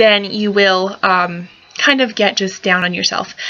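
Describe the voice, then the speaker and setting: A woman mumbles at a moderate pace and medium pitch while noticeable background noise carries on. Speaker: pinup fashion vlogger. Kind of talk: casual tutorial vlog. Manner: mumbling; hesitant, many fillers. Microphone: laptop camera mic, poor quality.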